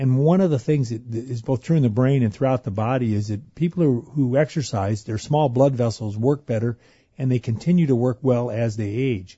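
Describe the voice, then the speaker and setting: Speaking at a fairly quick pace, a man with a medium-pitched, somewhat breathy voice shows ordinary pitch variation. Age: 50s. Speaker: anesthesiologist, exercise physiologist. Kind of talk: radio interview. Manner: repeats words, energetic.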